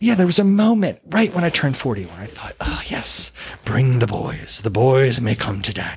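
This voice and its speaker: At a fairly quick pace, a man talks in a somewhat breathy voice of medium pitch, with very wide pitch swings. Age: 50s. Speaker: podcast host. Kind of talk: casual monologue.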